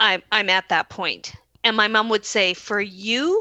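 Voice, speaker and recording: Against a quiet background, a woman speaks loudly with a bright, sharp tone. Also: dry, close sound with no echo. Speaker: podcast co-host. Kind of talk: casual chat. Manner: animated.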